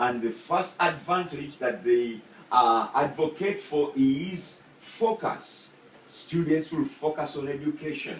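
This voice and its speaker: Speaking at a very slow pace with a Ugandan accent, a man uses a fairly high pitch and ordinary pitch variation. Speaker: student. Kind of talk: persuasive speech. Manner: halting.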